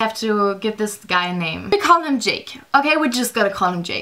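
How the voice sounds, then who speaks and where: The speaker talks at a fairly quick pace in a strong German accent. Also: woman. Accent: thick German. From Germany. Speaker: vlogger. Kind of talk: storytime vlog. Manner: casual, filler-heavy.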